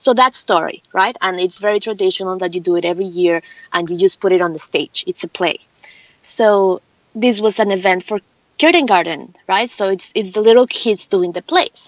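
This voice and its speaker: At a moderate pace, a woman with a Mexican accent speaks at medium pitch. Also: ordinary pitch variation. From Mexico. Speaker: film producer and actress. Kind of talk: interview.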